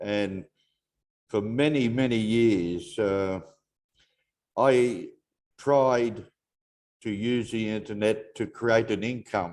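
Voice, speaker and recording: A man with an Australian accent at medium pitch, very slow, fairly even in intonation, with long, frequent pauses. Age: 70s. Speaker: network marketing member. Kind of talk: testimony.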